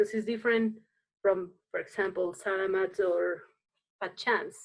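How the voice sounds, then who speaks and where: A woman with a Spanish accent speaks at a moderate pace and medium pitch, her intonation monotone and flat. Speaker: dance teacher. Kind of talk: casual chat. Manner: halting.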